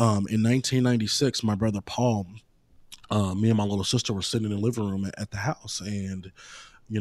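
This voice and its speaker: Fairly quick speech from a man with an American accent, a normal speaking voice, on a very clean recording with a silent background. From East St. Louis, Illinois. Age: 30s. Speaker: city manager and lawyer. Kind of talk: interview. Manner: frequent filler ums.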